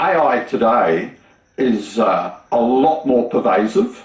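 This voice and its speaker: A man speaks in an Australian accent at medium pitch. Noticeable background noise runs through the clip. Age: 70s. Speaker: retired engineer and YouTube maker. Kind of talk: TV interview.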